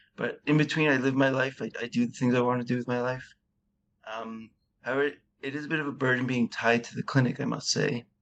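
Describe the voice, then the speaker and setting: A man talks at a very fast pace. His intonation is monotone and flat. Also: medium pitch for a man. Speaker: patient with deep brain stimulation. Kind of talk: interview conversation. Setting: remote call.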